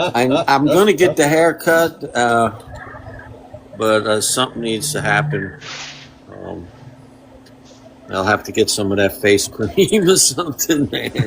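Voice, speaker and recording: A man's medium-pitched voice with very wide pitch swings, a fairly slow pace and long, frequent pauses, over noticeable background noise. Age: 50s. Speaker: mechanic and free pizza charity organizer. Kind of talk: casual chat.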